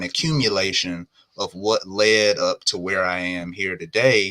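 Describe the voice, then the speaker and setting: In a Southern US accent, a man talks with a bright, sharp tone. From US South. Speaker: entrepreneur. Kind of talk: live podcast interview. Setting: live stream.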